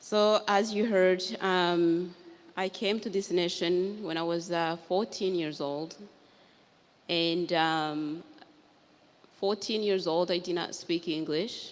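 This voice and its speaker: The speaker has a Rwandan accent and fairly even intonation. The pace is very slow, with long, frequent pauses. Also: woman, fairly low pitch for a woman. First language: Kinyarwanda. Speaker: author and genocide survivor. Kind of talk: panel talk. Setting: library event with live audience.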